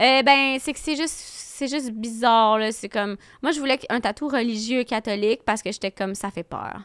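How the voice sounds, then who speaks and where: A woman with a fairly high pitch speaks at a moderate pace, using ordinary pitch variation. The recording is very clean, with a silent background and a dry, close sound with no echo. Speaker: comedian. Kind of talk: casual chat.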